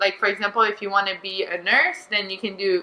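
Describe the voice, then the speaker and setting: A woman speaks with a Quebec accent. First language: French. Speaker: beach volleyball player. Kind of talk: casual chat. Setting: studio.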